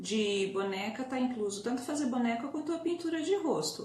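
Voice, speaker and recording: A soft-spoken woman with very wide pitch swings, audible room echo, and noticeable background noise. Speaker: doll-making teacher. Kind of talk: live online tutorial. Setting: Instagram live stream.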